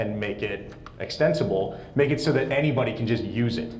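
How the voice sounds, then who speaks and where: Audible room echo and light background noise come through. A man speaks at a moderate pace. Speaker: pinball software framework developer; conference presenter. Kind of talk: conference presentation with live demo. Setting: stage with audience. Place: hall. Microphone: lapel.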